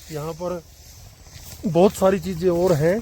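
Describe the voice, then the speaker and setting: A man speaks in a high voice with monotone, flat intonation. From Haryana, India. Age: 50s. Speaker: teacher. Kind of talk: travel vlog narration.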